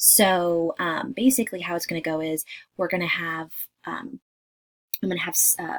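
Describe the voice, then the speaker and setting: A quiet woman at a medium pitch, with ordinary pitch variation and a fairly quick pace. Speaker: direct sales party consultant. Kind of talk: casual welcome video. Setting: at a daycare during nap time. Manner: quiet, hushed.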